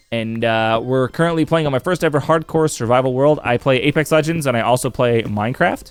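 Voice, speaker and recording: There is noticeable background noise behind this man. He talks at a fairly quick pace with hardly any pauses and very even loudness. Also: medium pitch for a man, ordinary pitch variation. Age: 30s. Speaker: video game streamer. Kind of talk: casual live-stream chat. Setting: live stream.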